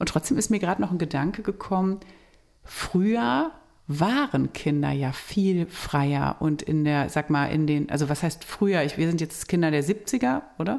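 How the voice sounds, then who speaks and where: This woman has an ordinary speaking voice, fairly low in pitch, with lively intonation, very even loudness, and a moderate pace. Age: 40s. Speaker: family counselor and podcast co-host. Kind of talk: casual chat.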